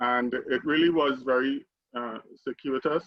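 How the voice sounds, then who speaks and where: A man with a medium-pitched voice and a Trinidadian accent. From Trinidad and Tobago. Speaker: alumni panelist, tech CEO. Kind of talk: panel discussion.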